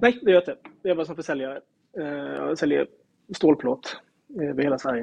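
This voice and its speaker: At a fairly quick pace, a man with a fairly high pitch and ordinary pitch variation speaks with big swings in loudness and long, frequent pauses. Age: 40s. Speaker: salesman and amateur football club founder. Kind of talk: casual interview.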